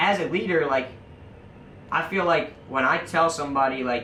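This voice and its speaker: A man's fairly high voice, with ordinary pitch variation, comes through audible room echo and noticeable background noise. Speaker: podcast guest, shop manager. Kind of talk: casual chat. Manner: loud.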